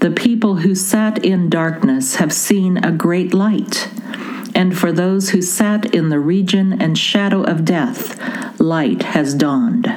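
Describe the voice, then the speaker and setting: Over noticeable background noise, a woman with a medium pitch talks very slowly, her loudness very even and her pitch variation ordinary. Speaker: worship leader. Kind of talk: fervent intercessory prayer and liturgical reading. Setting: recorded audio service, listeners can pause it.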